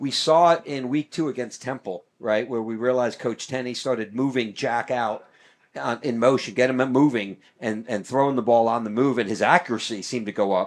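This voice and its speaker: Against a quiet background, a man with an American accent speaks at a medium pitch and a fairly quick pace with ordinary pitch variation. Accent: New York accent, comes back quickly. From New York. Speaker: sports play-by-play announcer. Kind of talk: live commentary. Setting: broadcast booth at stadium.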